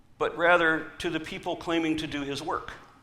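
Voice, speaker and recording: An animated tone with an American accent comes through audible room echo. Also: man. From US South. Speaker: atheist activist speaker. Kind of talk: conference talk.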